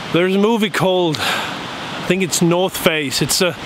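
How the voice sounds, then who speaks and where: Dry, echo-free sound with fairly even intonation and noticeable background noise. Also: man. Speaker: travel vlogger. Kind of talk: casual vlog chat. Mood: cheerful, relaxed. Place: open country. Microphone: phone near.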